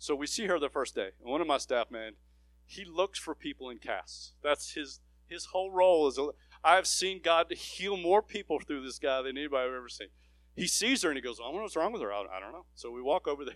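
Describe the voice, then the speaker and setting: At a very fast pace, a man speaks with a fairly high pitch and lively intonation. The sound is dry and close, with no echo. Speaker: missionary. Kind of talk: sermon.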